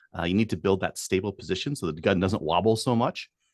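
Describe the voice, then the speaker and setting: A man with a Canadian accent and a plain, everyday voice, fairly low in pitch with ordinary pitch variation, recorded dry and close with no echo against a quiet background. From Edmonton, Alberta, Canada. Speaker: firearms instructor. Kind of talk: podcast interview.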